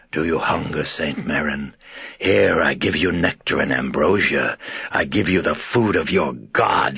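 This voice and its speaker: A man puts on a character voice that is raspy and croaky. His pitch is very deep and low, and his pace moderate. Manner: mocking.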